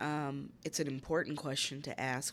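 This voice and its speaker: Over a very clean recording with a silent background, a woman with a very deep, low voice speaks in an American accent with fairly even intonation. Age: 40s. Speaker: lawyer and board member. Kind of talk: interview.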